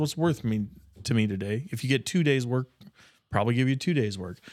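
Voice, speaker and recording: A man with a plain, everyday voice talks at a fairly quick pace and medium pitch, with ordinary pitch variation, in a very clean recording with a silent background. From rural Nebraska. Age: 30s. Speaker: podcast co-host. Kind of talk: casual chat.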